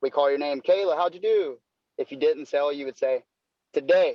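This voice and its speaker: This man speaks with an American accent. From North Carolina. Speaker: door-to-door salesman. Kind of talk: podcast interview. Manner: casual, filler-heavy.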